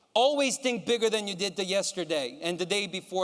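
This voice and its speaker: The man talks in an animated tone with ordinary pitch variation. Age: 30s. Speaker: motivational speaker, sales executive. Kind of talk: motivational speech. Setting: stage with audience.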